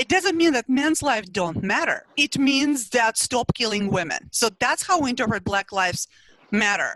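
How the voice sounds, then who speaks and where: High-pitched woman's voice in a Russian accent, bright and sharp in tone, with very wide pitch swings, very even loudness and a moderate pace in a dry, close sound with no echo. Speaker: psychology professor and researcher. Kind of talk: interview.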